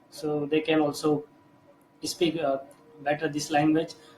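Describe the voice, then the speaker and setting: A man speaks with fairly high pitch. Noticeable background noise runs under his voice. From India. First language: Hindi. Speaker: English learner. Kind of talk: casual chat. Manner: halting.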